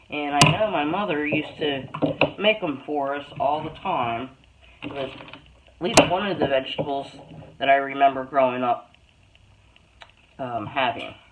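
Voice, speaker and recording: The speech moves at a fairly slow pace, broken by long, frequent pauses. Noticeable background noise runs underneath. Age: 60s. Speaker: homesteader and canning vlogger. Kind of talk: casual tutorial. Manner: casual, with many filler ums.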